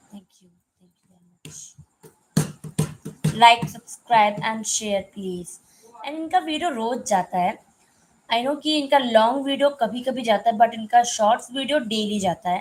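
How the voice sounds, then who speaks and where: Her fairly high pitch and lively intonation mark this woman's speech, which shows big swings in loudness. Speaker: live stream co-host. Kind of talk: casual chat. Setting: live stream.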